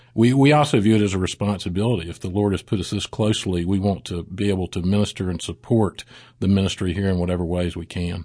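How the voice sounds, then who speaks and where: A man with a very deep, low pitch and a dark, mellow tone, very fast delivery, ordinary pitch variation and a Southern US accent. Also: quiet background. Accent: Southern American. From US South, South Mississippi. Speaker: pastor. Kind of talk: interview.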